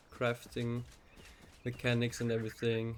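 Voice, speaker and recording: With a German accent, a man speaks at a medium pitch. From German-speaking Europe. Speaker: gaming YouTuber. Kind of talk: game walkthrough narration. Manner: hesitant, many fillers. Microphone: recording quiet.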